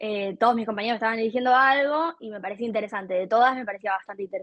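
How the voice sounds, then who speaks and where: Her pitch fairly high and its variation ordinary, a woman talks at a very fast pace. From Argentina, Buenos Aires province. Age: 20s. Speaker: content creator and artist. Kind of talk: interview.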